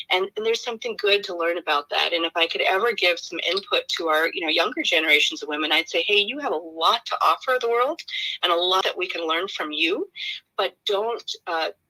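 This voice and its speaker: Bright and sharp in tone, a woman speaks at a medium pitch and a fairly quick pace with lively intonation, in a dry, close sound with no echo. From India, Kerala. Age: 50s. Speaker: human rights advocate, nonprofit director. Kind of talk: interview. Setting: online livestream.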